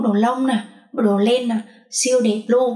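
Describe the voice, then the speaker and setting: A woman's voice, high in pitch. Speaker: university student. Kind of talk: casual chat.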